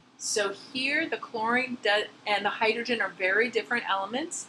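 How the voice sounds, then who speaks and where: A woman with an unremarkable speaking voice, fairly high in pitch, at a fairly quick pace. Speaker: chemistry instructor. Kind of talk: lecture.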